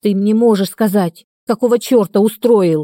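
In a dry, close sound with no echo, a woman growls at medium pitch and a moderate pace, with ordinary pitch variation. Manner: angry, growling.

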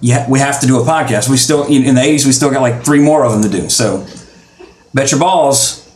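With a Southern US accent, a man talks at a fairly quick pace and medium pitch. His loudness stays very even amid noticeable background noise. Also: ordinary pitch variation. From Louisiana. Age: 30s. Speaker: podcast host. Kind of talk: casual chat. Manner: fast talker; animated.

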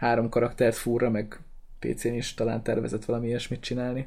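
A man speaks at a fairly quick pace in a medium pitch, with a plain, everyday voice. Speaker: gaming podcast host. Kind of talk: casual chat.

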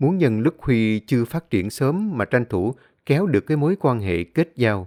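This is an unforced reading voice. It comes through as an unforced reading voice throughout.

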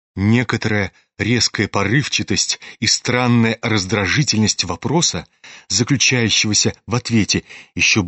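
A natural reading voice with fairly even intonation, over a quiet background.

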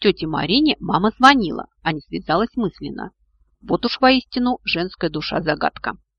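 An unforced reading voice with lively intonation against a quiet background

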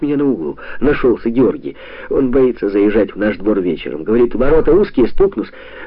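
Someone reads aloud in a natural voice.

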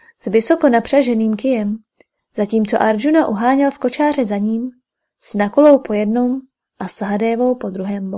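The background is silent apart from the voice. Its natural reading delivery has ordinary pitch variation.

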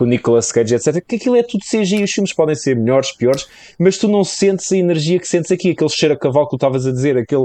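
This man talks at a very fast pace with a European Portuguese accent and lively intonation. His pitch is fairly high, and his tone is dark and mellow. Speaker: podcaster. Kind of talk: casual chat.

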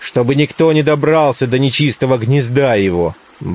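Pitch variation is ordinary. The delivery is a natural reading voice.

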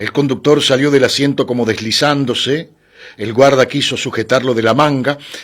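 A natural reading voice carries the whole clip.

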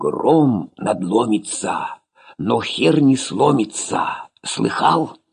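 A man does a put-on character voice at a fairly high pitch. He speaks at a very slow pace. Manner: whispered, conspiratorial.

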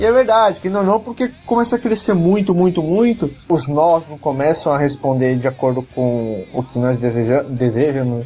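Over music in the background, a man with a fairly high pitch and very wide pitch swings talks at a moderate pace with hardly any pauses. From Brazil, São Paulo. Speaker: software developer. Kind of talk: casual chat.

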